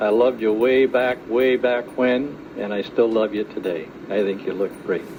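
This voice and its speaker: A man talks at medium pitch and a moderate pace. His intonation stays fairly even, with noticeable background noise behind him. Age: 70s. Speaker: retiree. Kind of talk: family video message. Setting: family reunion, home video.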